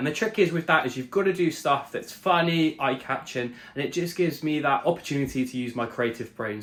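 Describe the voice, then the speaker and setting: Lively intonation marks this man's speech at a fairly quick pace. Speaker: fitness vlogger. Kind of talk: voiceover narration; vlog. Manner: fast.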